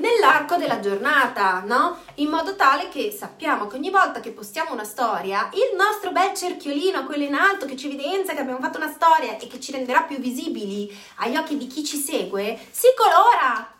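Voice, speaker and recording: Raised and projected, a woman's animated, high voice swings very widely in pitch and greatly in loudness at a fairly quick pace, with audible room echo and noticeable background noise. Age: 40s. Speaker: network marketing coach. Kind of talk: live stream chat.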